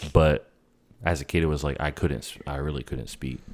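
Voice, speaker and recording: A man speaks at a moderate pace. Vocal fry runs through his voice. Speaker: video co-host. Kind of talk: casual chat. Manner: halting.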